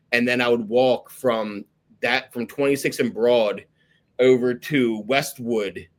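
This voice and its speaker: In a Philadelphia accent, a man speaks at a medium pitch with fairly even intonation. His pace is very slow. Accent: Philadelphia-area. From South Jersey, near Philadelphia. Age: 30s. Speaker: podcast host in recovery. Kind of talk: casual interview chat. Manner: casual, filler-heavy.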